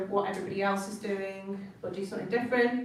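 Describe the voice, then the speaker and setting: A woman with a northern English accent speaks at a moderate pace and medium pitch with monotone, flat intonation. There is audible room echo and noticeable background noise. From northern England. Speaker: designer. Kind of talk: talk to students. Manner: casual.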